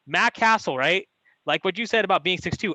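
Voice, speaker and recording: Recorded dry and close with no echo, a man with an American accent speaks in a raised, projected voice with a bright, sharp tone. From San Francisco Bay Area, California. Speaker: podcast host, former football player. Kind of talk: podcast interview.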